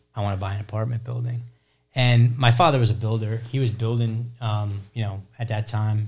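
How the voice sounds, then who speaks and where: A man speaks at a moderate pace with medium pitch and a somewhat breathy, flat monotone. The recording is very clean, with a silent background. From New Jersey suburbs. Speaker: real estate investor, landlord. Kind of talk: interview, casual chat.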